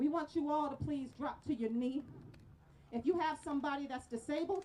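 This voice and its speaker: Loud and fairly quick, a woman talks at a high pitch with ordinary pitch variation. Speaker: rally speaker. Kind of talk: protest speech. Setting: outdoor rally with crowd. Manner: animated.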